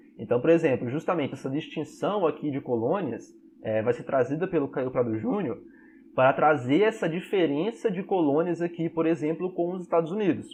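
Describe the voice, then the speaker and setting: With an ordinary speaking voice, a man talks at a moderate pace, his fairly high pitch carried by lively intonation. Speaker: history teacher. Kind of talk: online class lecture.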